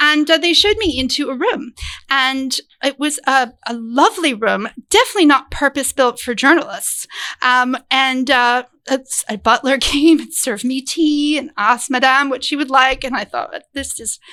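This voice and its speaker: A woman's raised, projected voice, high in pitch, with a bright, sharp, animated tone at a moderate pace. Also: ordinary pitch variation. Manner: animated storyteller.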